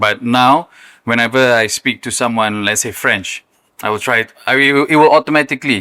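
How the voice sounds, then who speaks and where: On a very clean recording with a silent background, a man speaks at a medium pitch and a moderate pace. The sound is dry and close with no echo, and his bright, sharp tone carries fairly even intonation. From Malaysia, Johor. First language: Malay. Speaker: content creator. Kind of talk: podcast interview. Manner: casual, filler-heavy.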